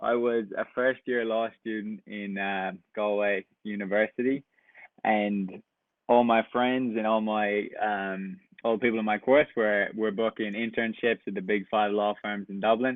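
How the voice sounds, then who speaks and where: With a west Irish accent, a man with a fairly low voice speaks at a fairly slow pace in a monotone, flat intonation. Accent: Irish, west coast. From west coast of Ireland. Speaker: camp counselor. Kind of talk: casual interview.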